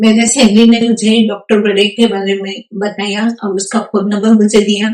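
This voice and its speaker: Monotone, flat intonation and a medium pitch define a woman's speech. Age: 60s. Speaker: retired nurse, patient. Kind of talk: testimony. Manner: halting, with fillers.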